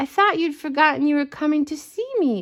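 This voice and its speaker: A woman's croaky, high-pitched put-on character voice at a fairly quick pace. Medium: read story.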